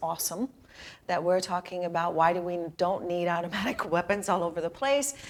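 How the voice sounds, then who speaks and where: A normal speaking voice at a fairly quick pace on a very clean recording with a silent background. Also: woman. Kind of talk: interview host.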